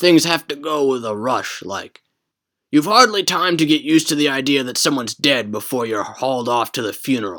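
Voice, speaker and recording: A man's put-on character voice, medium in pitch, with lively intonation at a fairly quick pace, on a very clean recording with a silent background. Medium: read story. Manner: gentle, talkative.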